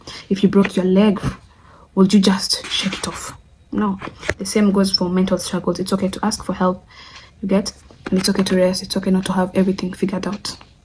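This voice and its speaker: At a fairly quick pace but with long, frequent pauses, a woman speaks at medium pitch in a monotone, flat intonation. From Kenya. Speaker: friend of the channel owner, guest. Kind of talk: casual Q&A vlog.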